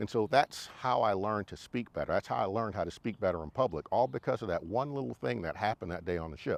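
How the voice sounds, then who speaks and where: Very fast and with hardly any pauses, a man speaks at a fairly low pitch with vocal fry and very wide pitch swings, in a dry, close sound with no echo. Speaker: motorcycle riding instructor and YouTuber; navy veteran. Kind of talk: casual talk to camera. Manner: clear, well-spoken.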